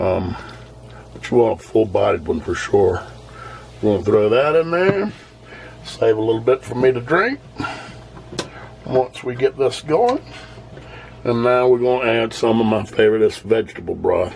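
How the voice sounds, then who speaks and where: Noticeable background noise accompanies a man with a Southern US accent, who talks in a relaxed tone at a moderate pace with long, frequent pauses. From US South. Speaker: home cooking video host. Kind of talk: cooking tutorial. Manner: casual, relaxed.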